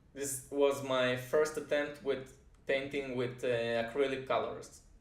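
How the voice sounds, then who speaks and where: A man speaks with a Russian accent at a medium pitch, fairly slowly. His intonation is monotone and flat, and the room echo is audible. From Israel, moved from Russia at age five. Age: 30s. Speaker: music producer and composer. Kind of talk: personal introduction vlog. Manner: hesitant, frequent uh fillers.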